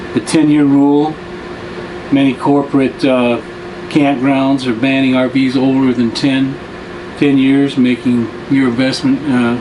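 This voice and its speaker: A man's flat, monotone delivery at a fairly slow pace, loudness very even, noticeable background noise behind him. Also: medium pitch for a man. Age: 70s. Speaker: retiree travel vlogger. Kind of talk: casual monologue. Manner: halting, with many fillers.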